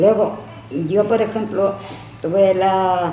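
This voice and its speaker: Very slow speech with fairly even intonation, audible room echo and light background noise. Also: woman. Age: 80s+. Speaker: elderly woman recounting her life. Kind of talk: interview answer. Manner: reminiscing storytelling. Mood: animated, candid storytelling. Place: home room. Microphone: camera far.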